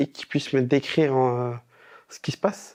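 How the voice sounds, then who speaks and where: At a moderate pace, a man with a medium pitch and fairly even intonation speaks in a dry, close sound with no echo. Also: quiet background. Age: 20s. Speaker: visually impaired moviegoer, university student. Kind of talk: testimony interview. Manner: casual, with hesitations.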